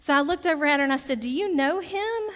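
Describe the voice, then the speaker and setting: With a Southern US accent, a woman speaks in a bright, sharp tone, her pitch swinging very widely. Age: 30s. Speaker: pastor. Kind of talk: sermon. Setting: church.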